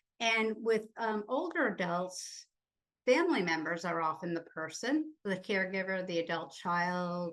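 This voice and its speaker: Here is a woman with an unremarkable speaking voice. Her pitch is medium, and it varies in an ordinary way. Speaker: conference presenter on abuse. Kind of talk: conference presentation.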